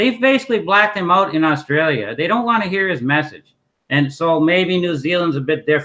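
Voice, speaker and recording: A man talks at a fairly quick pace in a high, bright, sharp voice with lively intonation. The recording is very clean, with a silent background. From Canada. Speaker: author and activist. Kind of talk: interview.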